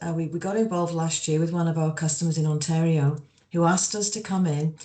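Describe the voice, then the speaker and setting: Somewhat breathy, a woman speaks at a fairly low pitch with an English accent. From England. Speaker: energy company executive. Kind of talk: panel discussion. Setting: online video panel.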